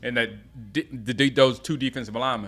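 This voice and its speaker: Over music in the background, a man with an American accent talks at a fairly quick pace at medium pitch. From US South, Gaffney, South Carolina. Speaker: sports fan streamer. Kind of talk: live watch-along commentary. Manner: casual, halting with restarts.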